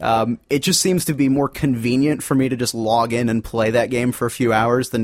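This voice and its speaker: A man of medium pitch with an unremarkable speaking voice, fairly even intonation and a fairly quick pace. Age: 20s. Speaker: fill-in co-host and homebrewer. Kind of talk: casual chat.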